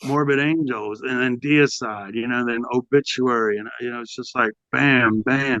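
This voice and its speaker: Recorded dry and close with no echo, a man with an American accent speaks at medium pitch in a bright, sharp tone with fairly even intonation. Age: 60s. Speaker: heavy metal vocalist. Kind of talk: casual interview.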